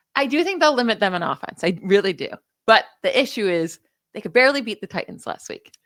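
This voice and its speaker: A woman in a New York accent speaks very fast at a fairly high pitch. Her pitch swings very widely and her loudness rises and falls sharply. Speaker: NFL podcast co-host, stats analyst. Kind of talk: casual sports chat.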